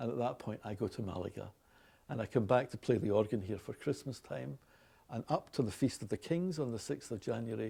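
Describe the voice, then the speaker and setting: In a very clean recording with a silent background, a man with a Glaswegian accent talks at a fairly quick pace, medium in pitch, with a dark, mellow tone, lively intonation and vocal fry. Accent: Scottish, Glaswegian. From Glasgow, Scotland. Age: 60s. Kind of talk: casual unscripted talk.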